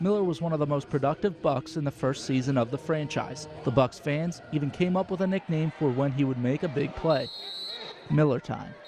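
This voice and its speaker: Noticeable background noise sits behind a man's fairly high voice. He talks at a fairly quick pace with ordinary pitch variation. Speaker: sports anchor and reporter. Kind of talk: TV sports feature narration.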